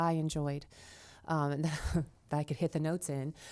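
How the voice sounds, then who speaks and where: A woman speaks at a fairly quick pace with a very deep, low pitch and fairly even intonation. The recording is very clean, with a silent background. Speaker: musician and singer-songwriter. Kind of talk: interview conversation. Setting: theater venue. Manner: hesitant, many fillers.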